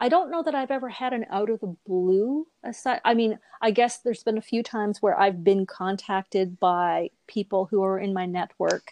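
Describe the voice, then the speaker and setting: Lively intonation at a moderate pace, hardly any pauses, over a quiet background in a dry, close sound with no echo. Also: woman, medium pitch for a woman. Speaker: voice over artist. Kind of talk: casual interview chat. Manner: conversational, hesitant with fillers.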